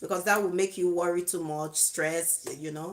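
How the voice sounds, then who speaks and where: Here is a woman with a plain, everyday voice. She talks at a moderate pace in a fairly low pitch. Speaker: YouTube vlogger giving relationship advice. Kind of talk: live video monologue.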